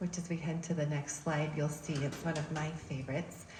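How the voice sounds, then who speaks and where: A soft-spoken woman at a fairly quick pace, with audible room echo. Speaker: education advocacy group chair. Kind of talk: public presentation. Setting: church hall talk with audience, using a mic.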